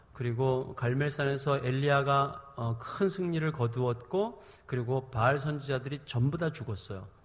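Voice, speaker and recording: Speaking at a moderate pace with hardly any pauses, a man with a fairly high pitch and ordinary pitch variation sounds somewhat breathy amid audible room echo. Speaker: preacher. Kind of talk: sermon. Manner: speeds up when heated.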